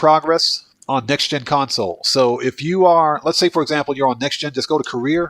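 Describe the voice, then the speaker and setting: A man with a northeastern US accent speaks in a fairly high voice, his sound dry and close with no echo on a very clean recording over a silent background. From US Northeast (Baltimore, Maryland). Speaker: gaming livestreamer. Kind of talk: livestream gameplay commentary. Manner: casual, chatty.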